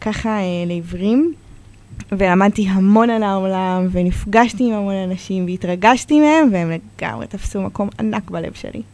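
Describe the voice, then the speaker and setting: This woman's voice sits at a medium pitch with ordinary pitch variation. Her pace is fairly slow. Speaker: children's book author. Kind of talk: reading aloud; interview. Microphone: too far from the mic.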